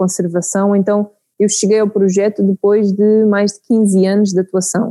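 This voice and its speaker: At a fairly slow pace, a woman speaks in a dark, mellow tone with a medium pitch and monotone, flat intonation. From Portugal, Santarém region. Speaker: beekeeping project manager. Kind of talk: interview. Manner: hesitant, with fillers.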